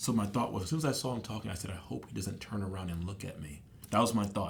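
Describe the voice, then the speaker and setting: A man's animated, somewhat breathy voice, fairly low in pitch with ordinary pitch variation. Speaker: podcast guest sharing faith and dreams. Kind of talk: casual interview conversation. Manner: fast.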